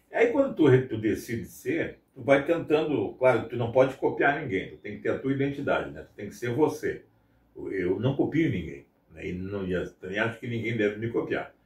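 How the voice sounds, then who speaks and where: A man with a southern Brazilian accent speaks with big swings in loudness. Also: moderate pace. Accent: gaúcho Brazilian Portuguese. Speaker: radio announcer. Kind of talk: interview. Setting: outdoors in front of a radio station. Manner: casual, conversational.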